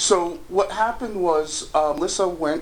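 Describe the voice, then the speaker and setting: Noticeable background noise sits behind a man with an American accent and lively intonation. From United States. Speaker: housing discrimination complainant. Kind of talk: phone interview.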